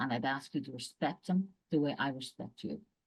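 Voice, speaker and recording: A woman with an Irish accent speaks at a very deep, low pitch with lively intonation. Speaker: executive and leadership coach. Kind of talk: casual interview.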